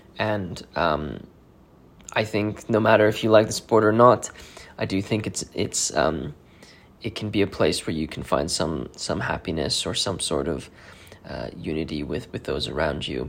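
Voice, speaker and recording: Using a very deep, low pitch with vocal fry, a man talks at a moderate pace with lively intonation. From South Africa. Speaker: watch podcast host. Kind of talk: solo podcast monologue. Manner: halting, many fillers.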